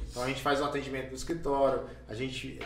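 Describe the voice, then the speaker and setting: Amid noticeable background noise and audible room echo, a man with a fairly high pitch talks at a very fast pace. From Brazil, Carapicuíba (São Paulo area). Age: 40s. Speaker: city councillor and podcast host. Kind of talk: casual chat.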